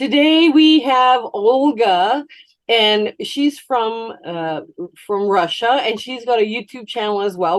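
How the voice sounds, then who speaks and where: Here is an unremarkable speaking voice with a Canadian accent. It moves at a fairly slow pace with lively intonation. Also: woman. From Canada. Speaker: quilting YouTuber. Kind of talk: interview.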